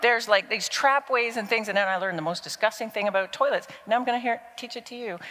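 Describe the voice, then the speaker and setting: The woman talks at a very fast pace. Her pitch is fairly high, with ordinary pitch variation. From Canada, Toronto. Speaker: business strategy consultant, conference speaker. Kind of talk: conference talk. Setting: stage with audience. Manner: animated.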